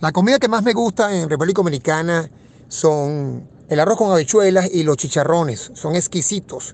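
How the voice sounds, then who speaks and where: This man has a high pitch and speaks at a moderate pace with lively intonation. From Venezuela, Caracas. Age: 50s. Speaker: economist. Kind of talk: interview.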